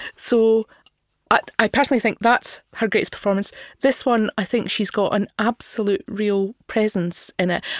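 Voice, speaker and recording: A woman's voice with a Scottish accent, fairly high in pitch, with fairly even intonation, very even loudness, a moderate pace, and a dry, close sound with no echo. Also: very clean recording, silent background. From Scotland, not Glasgow. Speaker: podcast co-host, film reviewer. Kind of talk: casual film discussion.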